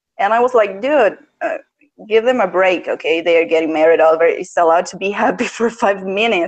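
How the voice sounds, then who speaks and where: A woman with a non-native accent speaks at a medium pitch. Her pace is fairly quick and her intonation lively. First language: not English. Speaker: guest fan. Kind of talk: casual chat. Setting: live stream. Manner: halting.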